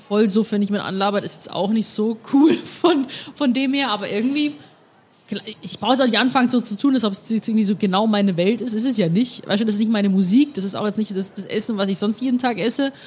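A somewhat breathy woman with a fairly high pitch talks at a fairly quick pace, her pitch varying in an ordinary way. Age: 20s. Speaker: podcast host. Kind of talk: casual chat. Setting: beer tent at the Oktoberfest.

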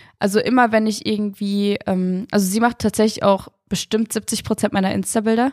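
In a very clean recording with a silent background, a woman speaks at a fairly high pitch in a flat monotone, her sound dry and close with no echo. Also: moderate pace, hardly any pauses. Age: 20s. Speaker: influencer and former gymnast. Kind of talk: casual interview.

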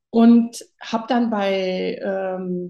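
A woman's fairly high voice carries ordinary pitch variation against a quiet background. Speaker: interview guest. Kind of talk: casual chat.

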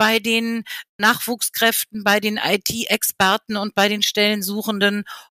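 Bright and sharp in tone, a woman's medium-pitched voice moves at a fairly slow pace. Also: dry, close sound with no echo. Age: 60s. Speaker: business professor. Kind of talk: interview.

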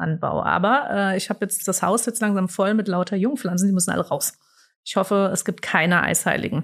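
In a very clean recording with a silent background, a woman speaks at medium pitch with vocal fry, ordinary pitch variation and a moderate pace. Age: 40s. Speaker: communications department head. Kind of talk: interview.

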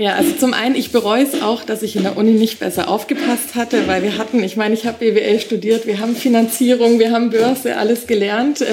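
A woman speaks fairly quickly in a fairly high voice, with hardly any pauses. Her intonation is fairly even, and background noise is noticeable. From Bavaria, Augsburg. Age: 30s. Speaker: young property investor. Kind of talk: interview.

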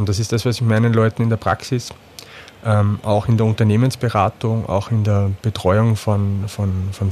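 A man speaks at a moderate pace in a medium-pitched, somewhat breathy voice. His tone is dark and mellow. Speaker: psychotherapist, former media sales manager. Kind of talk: interview conversation.

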